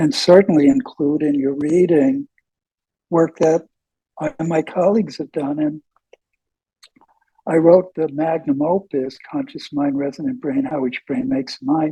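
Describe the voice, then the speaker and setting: A man with a fairly high pitch and a dark, mellow tone speaks at a fairly slow pace with lively intonation and long, frequent pauses, in a dry, close sound with no echo. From US Northeast (New York). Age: 80s+. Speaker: professor. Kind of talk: interview.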